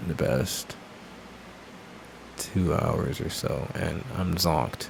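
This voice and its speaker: A man speaks with noticeable background noise and audible room echo in the recording. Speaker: tarot reader. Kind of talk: casual chat.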